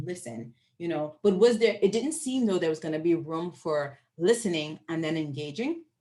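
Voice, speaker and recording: A woman speaks in a Bahamian accent with an animated, somewhat breathy tone, very wide pitch swings and a moderate pace. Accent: noticeable Bahamian. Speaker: professor. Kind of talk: Q&A after lecture.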